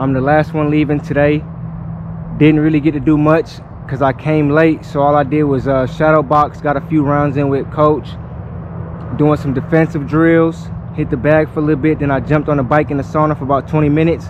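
Over noticeable background noise, a man talks at a fairly quick pace in a monotone, flat intonation, the sound dry with no echo. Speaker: amateur boxer vlogger. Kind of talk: casual vlog chat. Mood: relaxed, thankful. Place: gym. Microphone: phone near.

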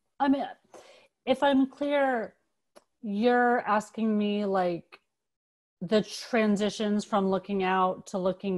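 Against a quiet background, a woman with an American accent speaks at a very slow pace, using ordinary pitch variation and long, frequent pauses. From Los Angeles. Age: 40s. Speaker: photographer and art teacher. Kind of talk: artist talk presentation. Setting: video call. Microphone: video call.

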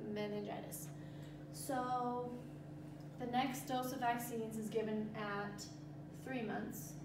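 A woman speaks at a very slow pace. Noticeable background noise and audible room echo surround her voice. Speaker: presenter. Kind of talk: tutorial. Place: classroom. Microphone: camera far.

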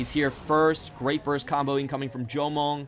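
A man talks with a fairly high pitch. Music plays in the background. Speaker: esports commentator. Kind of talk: live esports commentary. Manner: energetic, quick play-by-play.

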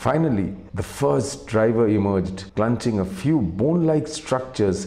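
A man with a fairly low pitch speaks at a fairly slow pace in a dramatic tone. His pitch swings very widely. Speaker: video narrator. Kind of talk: scripted mystery documentary narration with a dramatic storytelling build. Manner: measured, hushed suspense-building pace, dramatic and atmospheric; formal, polished, slightly theatrical. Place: home room. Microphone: lapel.

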